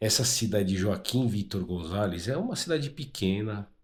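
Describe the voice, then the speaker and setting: A somewhat breathy man's voice, fairly low in pitch, on a very clean recording with a silent background. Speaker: motorcycle travel vlogger. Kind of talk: travel vlog. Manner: casual, conversational.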